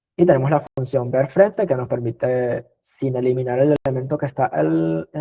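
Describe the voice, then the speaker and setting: A man speaks at a moderate pace with medium pitch. He hardly pauses at all. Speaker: teaching assistant / tutor. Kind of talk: exam review lecture.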